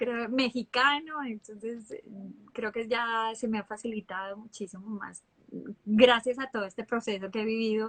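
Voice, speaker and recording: A woman at a moderate pace, fairly high in pitch, with fairly even intonation and big swings in loudness. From Colombia, Bucaramanga (Santander). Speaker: actress. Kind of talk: interview.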